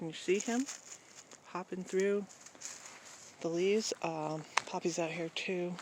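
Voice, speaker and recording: A woman's fairly low voice with fairly even intonation, fairly slow pace and long, frequent pauses over noticeable background noise. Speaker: vlogger. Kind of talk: casual vlog monologue. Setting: outdoors at night. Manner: hesitant, many fillers.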